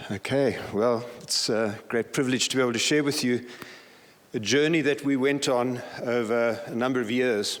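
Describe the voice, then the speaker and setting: A man speaks at a moderate pace and medium pitch with fairly even intonation, and audible room echo surrounds him. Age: 60s. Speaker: pastor. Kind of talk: conference talk.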